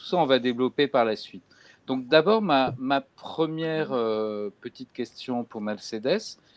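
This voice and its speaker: A man speaks fairly slowly at a medium pitch, with lively intonation and big swings in loudness. The sound is dry and close, with no echo. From France. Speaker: bookseller and crime fiction specialist interviewer. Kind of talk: literary interview. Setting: video call. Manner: halting, many hesitations.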